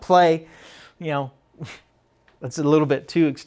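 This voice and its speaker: Someone speaks at a fairly quick pace with fairly even intonation against a quiet background. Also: man. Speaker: professor leading a teaching workshop. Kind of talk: workshop discussion. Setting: classroom session, recorded. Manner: fast.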